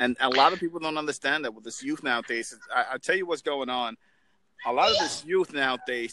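This man, with an American accent, has a bright, sharp tone and speaks at a fairly quick pace. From New York. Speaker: motivational speaker, military veteran. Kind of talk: casual chat.

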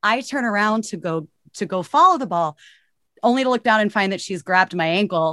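A voice with an American accent speaks at a fairly quick pace, its bright, sharp tone and lively intonation heard dry and close with no echo against a quiet background. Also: woman, medium pitch for a woman. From Texas. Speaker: club player. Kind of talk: casual chat. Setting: video call, home studio. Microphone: professional closed-in setup.

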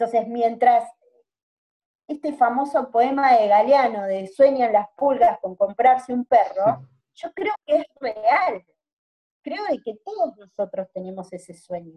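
A woman's high voice in a Rioplatense accent, very slow in pace, with lively intonation and a dry, close sound with no echo. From Greater Buenos Aires, Argentina. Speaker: microcredit project founder. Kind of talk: interview conversation.

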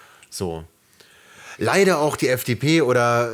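Very slow pace and lively intonation from a man. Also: very clean recording, silent background. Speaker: podcast co-host. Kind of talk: casual chat. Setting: sitting very close to co-host on one mic.

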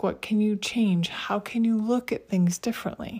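A woman speaks at a moderate pace in a somewhat breathy voice with ordinary pitch variation. The recording is very clean, with a silent background. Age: 50s. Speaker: podcast host. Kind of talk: solo podcast monologue.

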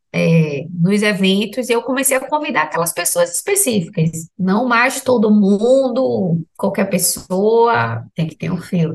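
Somewhat breathy, a woman talks at a fairly slow pace with very wide pitch swings and hardly any pauses. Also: medium pitch for a woman. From Salvador, Bahia, Brazil. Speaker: health professional sharing ayahuasca experience. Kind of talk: personal testimony in interview.

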